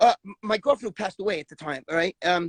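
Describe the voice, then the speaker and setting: Lively intonation marks this New York accent, heard with a dry, close sound and no echo. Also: man. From New York, the Bronx. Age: 60s. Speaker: former bodybuilder. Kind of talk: casual interview. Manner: animated, profane; halting, repetitive.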